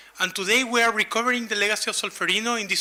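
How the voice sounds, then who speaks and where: Over noticeable background noise, a man speaks in a Latin American accent. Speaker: humanitarian first aid expert. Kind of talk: conference presentation.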